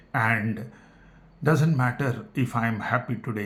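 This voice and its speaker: Here a man speaks with an Indian accent. His voice is somewhat breathy. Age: 60s. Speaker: health talk vlogger, retired engineer. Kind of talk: personal talk to camera. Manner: halting.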